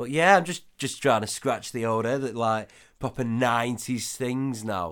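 A man with an ordinary speaking voice talks at a moderate pace, his medium pitch showing ordinary variation. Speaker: podcast co-host. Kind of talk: casual chat, comedic banter.

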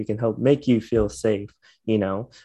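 A man with a fairly low pitch speaks at a moderate pace over a quiet background. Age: 20s. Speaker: podcast host. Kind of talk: casual interview.

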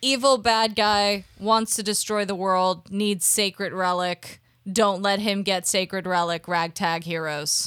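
This is a woman with an American accent and an unremarkable speaking voice. Her pitch is medium and her intonation fairly even. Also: fairly slow pace. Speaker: podcast co-host. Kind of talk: casual chat.

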